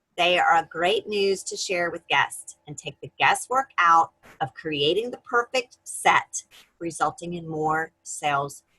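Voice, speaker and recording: An American-accented woman speaks very slowly with a bright, sharp tone and big swings in loudness, in a dry, close sound with no echo. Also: fairly low pitch for a woman, lively intonation. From North Carolina. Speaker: direct sales team leader. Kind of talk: team meeting presentation.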